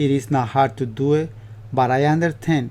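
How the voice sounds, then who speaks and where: A man with a Spanish accent speaks fairly slowly in a medium pitch. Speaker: upholsterer. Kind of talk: tutorial. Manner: halting.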